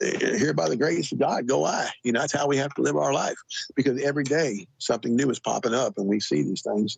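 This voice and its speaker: With an American accent, a man speaks at a medium pitch and with lively intonation. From Southern California. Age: 60s. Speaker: former army ranger telling his paranormal experiences. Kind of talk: podcast interview, personal storytelling. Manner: halting, frequent repetitions and fillers.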